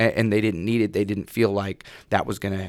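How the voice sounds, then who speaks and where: A fairly quick delivery in a West Coast accent, with fairly even intonation, on a very clean recording with a silent background. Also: man. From Salem, Oregon. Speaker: former football player. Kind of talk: casual chat. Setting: studio.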